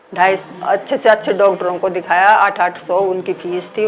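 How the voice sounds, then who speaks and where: Medium pitch from a woman, fairly even intonation, noticeable background noise. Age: 60s. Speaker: therapy client giving testimonial. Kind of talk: testimony.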